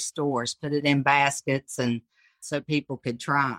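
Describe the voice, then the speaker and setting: A woman with an Appalachian accent speaks at a moderate pace in a bright, sharp tone, her intonation fairly even. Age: 60s. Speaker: cottage food business owner. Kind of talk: casual interview.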